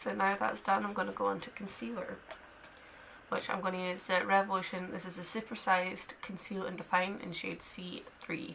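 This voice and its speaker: A woman with a Scottish accent at a moderate pace, with ordinary pitch variation and noticeable background noise. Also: medium pitch for a woman. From Scotland, Dundee. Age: 20s. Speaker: beauty vlogger. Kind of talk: makeup tutorial chat. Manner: casual, chatty.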